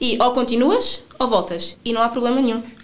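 A woman with a European Portuguese accent talks at a moderate pace in a fairly high pitch. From Portugal, Sines. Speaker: traveller. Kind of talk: interview.

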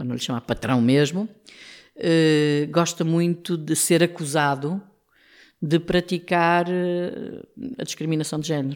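In a very clean recording with a silent background, a woman speaks very slowly at fairly low pitch with ordinary pitch variation. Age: 60s. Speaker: trade union leader. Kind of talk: interview.

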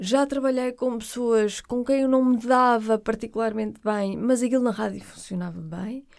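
Her pitch runs fairly high, with ordinary pitch variation. The woman talks at a moderate pace in a plain, everyday voice. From Portugal, Porto. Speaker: radio presenter. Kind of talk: interview conversation.

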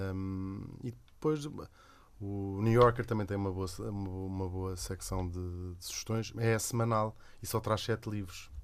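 With a plain, everyday voice, a man talks at a fairly slow pace, his fairly low pitch carried by fairly even intonation. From Lisbon, Portugal. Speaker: radio host and cartoonist. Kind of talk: casual chat.

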